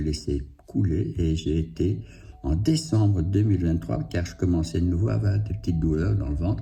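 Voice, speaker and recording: Over music in the background and audible room echo, a man with a very deep, low pitch speaks at a moderate pace with lively intonation. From Belgium, Liège province. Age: 60s. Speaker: cancer patient vlogger. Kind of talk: personal testimony. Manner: halting, many hesitations.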